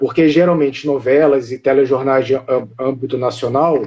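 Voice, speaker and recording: A man speaks in a Carioca accent at a fairly high pitch. His intonation is monotone and flat. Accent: carioca Brazilian Portuguese. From Rio de Janeiro, Brazil. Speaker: live stream host of a monarchist channel. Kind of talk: casual live stream chat.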